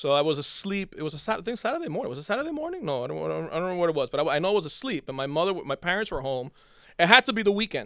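A man's high, bright, sharp voice at a very fast pace with very wide pitch swings, in a very clean recording with a silent background. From born in Cuba, raised in US from early childhood. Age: 40s. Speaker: high school English teacher. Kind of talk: casual chat.

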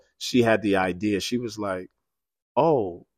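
On a very clean recording with a silent background, a man speaks at a fairly slow pace with ordinary pitch variation, the sound dry and close with no echo. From New York City (South Bronx). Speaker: pastor. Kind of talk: casual chat.

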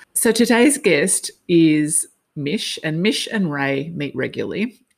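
A woman speaks with an Australian accent in a very deep, low pitch. The recording is very clean, with a silent background. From Australia, Sydney. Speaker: podcast host, life and business coach. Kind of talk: casual interview chat.

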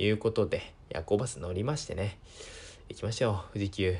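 Somewhat breathy and fairly low, a man speaks at a moderate pace with long, frequent pauses. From Japan, Miyagi (Sendai). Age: 20s. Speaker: podcast host. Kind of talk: casual solo talk. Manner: hesitant, many fillers.

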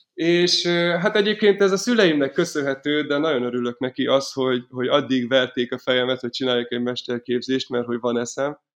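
Talking at a fairly quick pace, a man keeps a medium pitch with ordinary pitch variation. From Hungary, Miskolc. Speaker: folk punk band violinist, singer and manager. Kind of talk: casual interview. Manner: halting, many repetitions and fillers.

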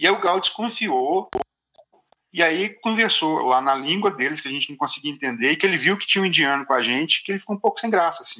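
Lively in intonation and high in pitch, a man speaks at a very fast pace. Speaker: traveller recounting a trip to India. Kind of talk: casual chat. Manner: halting, with many repetitions.

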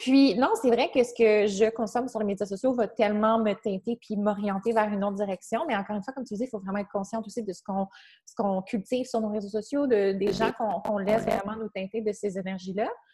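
A woman talks at a very fast pace with hardly any pauses and fairly even intonation. Her voice is fairly high, somewhat breathy, with a dark, mellow tone. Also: big swings in loudness. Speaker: podcast host and fitness trainer. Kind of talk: casual interview conversation.

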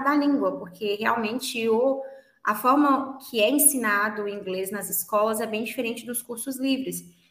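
A woman speaks in a high pitch. Audible room echo surrounds her voice. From Brazil, Minas Gerais. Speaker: English teacher. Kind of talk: interview.

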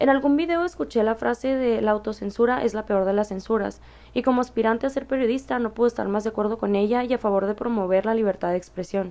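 A woman at a very fast pace with hardly any pauses, a fairly high pitch, ordinary pitch variation and a dark, mellow tone. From Mexicali, Baja California, Mexico. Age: 20s. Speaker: podcast host and university student. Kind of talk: solo monologue.

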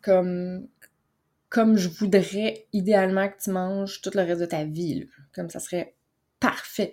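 A woman with a Quebec accent talks at a fairly slow pace, her tone dark and mellow and her intonation fairly even. She leaves long, frequent pauses, and the recording is very clean with a silent background. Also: medium pitch for a woman, big swings in loudness. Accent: Québécois French. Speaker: wellness coach and podcast host. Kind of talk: motivational monologue. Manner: calm, relaxed.

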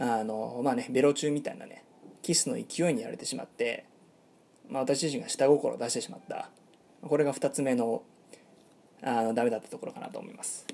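A man at a fairly quick pace, with long, frequent pauses and big swings in loudness. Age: 30s. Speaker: podcast host, pickup artist. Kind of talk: monologue storytelling. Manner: many fillers (えー); polite, formal.

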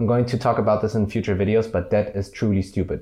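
At a very fast pace, a man with a fairly low pitch speaks in a dark, mellow, somewhat breathy tone with fairly even intonation. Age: 20s. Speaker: YouTuber. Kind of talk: vlog monologue. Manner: casual, with many fillers.

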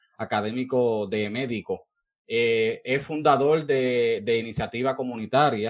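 This man's voice sits at a medium pitch. His intonation stays fairly even. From Puerto Rico, Peñuelas. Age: 30s. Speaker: podcast host. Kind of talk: interview.

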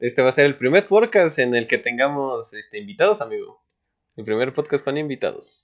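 In an ordinary speaking voice, a man talks at a fairly quick pace with a fairly high pitch and lively intonation against a quiet background. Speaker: podcast host. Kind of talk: casual chat.

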